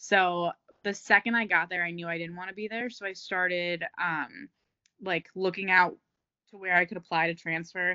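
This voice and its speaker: An unremarkable speaking voice from a woman with an American accent, medium pitch, fairly even intonation, big swings in loudness and a moderate pace. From New Jersey. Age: 20s. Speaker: fitness coach and entrepreneur. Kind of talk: casual chat.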